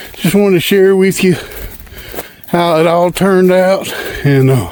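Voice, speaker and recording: With a strong Southern US accent and a high pitch, a man talks at a fairly slow pace amid noticeable background noise and audible room echo. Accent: strong Southern country. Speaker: hunting and outdoors vlogger. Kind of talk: casual vlog narration. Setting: outdoors, walking food plots. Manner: casual, folksy.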